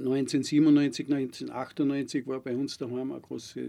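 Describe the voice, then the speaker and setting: A man's dark, mellow voice at medium pitch, monotone and flat in intonation, over a quiet background. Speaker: veterinarian and farmer. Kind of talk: interview. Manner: hesitant, with filler sounds.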